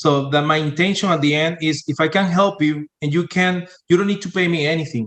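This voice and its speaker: In a Spanish accent, a man talks in a high voice with fairly even intonation. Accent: Spanish-accented English, non-native. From Venezuela. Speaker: sales and marketing entrepreneur, engineer. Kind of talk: podcast interview. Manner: halting, many fillers.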